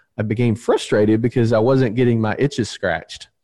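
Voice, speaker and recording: A man with a Southern US accent has a dark, mellow tone. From US South, Alabama. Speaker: insurance agency owner. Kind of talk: interview.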